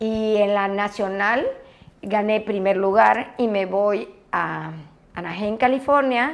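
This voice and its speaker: This woman talks very slowly. Her pitch variation is ordinary. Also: medium pitch for a woman. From Yucatán, Mexico. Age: 60s. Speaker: former aerobics champion and fitness instructor. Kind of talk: interview. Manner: animated.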